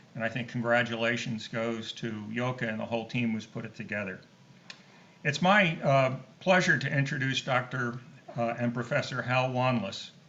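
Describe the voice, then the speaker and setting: A man's medium-pitched voice at a moderate pace, ordinary pitch variation, noticeable background noise. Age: 70s. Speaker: scientist and board member. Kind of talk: introduction speech. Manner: halting, many fillers.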